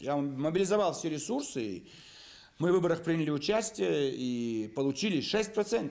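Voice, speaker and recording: Very wide swings in pitch from a male speaker. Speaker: politician. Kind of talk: interview answer. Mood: indignant, accusatory. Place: office.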